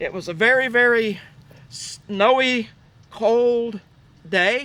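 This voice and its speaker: A man's raised, projected voice, extremely high in pitch, bright and sharp in tone, with fairly even intonation and a very slow pace. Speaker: army veteran. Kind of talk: recollection told on site. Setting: outdoors.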